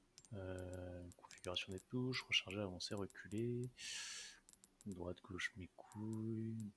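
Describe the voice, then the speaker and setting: Soft-spoken and very slow, a man with a fairly low voice talks in a bright, sharp tone with ordinary pitch variation. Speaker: gaming streamer. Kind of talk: live gameplay commentary. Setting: live stream. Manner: soft-spoken, talking quietly.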